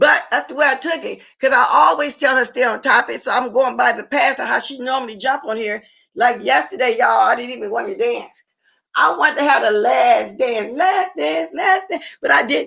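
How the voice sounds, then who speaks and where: A woman speaks loudly in a high pitch with a bright, sharp tone. Her pitch swings very widely at a moderate pace. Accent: American. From Louisiana and Missouri. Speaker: livestream host. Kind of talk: casual live chat.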